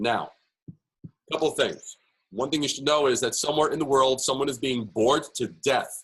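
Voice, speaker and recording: A man with a New York accent speaks in a fairly high voice with fairly even intonation. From US Northeast, New York. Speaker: branding speaker. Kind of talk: presentation workshop. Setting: webinar. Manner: fast.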